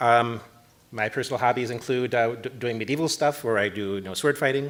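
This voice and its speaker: Over noticeable background noise, a man with an American accent talks at a fairly quick pace in a medium pitch, with ordinary pitch variation. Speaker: network protocol engineer. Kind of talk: conference talk. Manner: fast.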